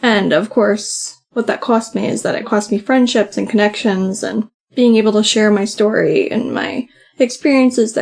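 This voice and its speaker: Soft-spoken, a woman talks at a moderate pace and fairly high pitch with fairly even intonation. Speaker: podcast co-host. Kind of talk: casual chat. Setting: home recording, late at night.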